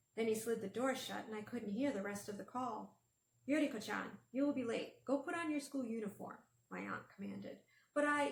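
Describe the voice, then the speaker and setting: A woman with a fairly high pitch and vocal fry speaks at a moderate pace with lively intonation. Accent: American. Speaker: author. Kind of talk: middle grade novel read-aloud.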